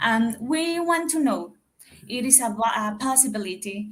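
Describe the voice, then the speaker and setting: The voice is somewhat breathy, with a Dominican accent. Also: woman. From Dominican Republic. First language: Spanish. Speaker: caller. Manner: halting.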